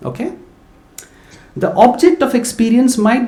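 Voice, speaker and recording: A man talks at a fairly quick pace. Audible room echo surrounds the voice. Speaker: visiting lecturer. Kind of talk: lecture. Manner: halting.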